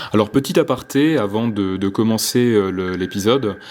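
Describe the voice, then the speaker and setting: Music plays in the background. A man speaks with ordinary pitch variation. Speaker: nature vlogger, snake enthusiast. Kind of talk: vlog narration. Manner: hesitant, many fillers.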